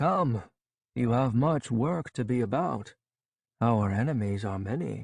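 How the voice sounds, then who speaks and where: Putting on a gravelly character voice at a medium pitch, a man speaks at a fairly slow pace with long, frequent pauses. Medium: read story. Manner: grandfatherly, measured.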